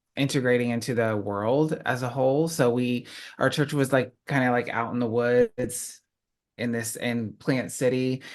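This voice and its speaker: A man with an American accent and an ordinary speaking voice talks at a moderate pace and medium pitch. His intonation is fairly even, and the background is quiet. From Florida, US. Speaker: writer and witchcraft YouTuber. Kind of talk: interview.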